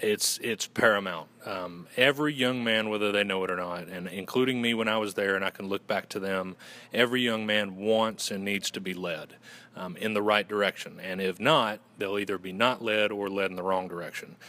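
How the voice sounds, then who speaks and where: In a Southern US accent, the speaker talks at a moderate pace with fairly even intonation. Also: man. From Western North Carolina. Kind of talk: casual, folksy.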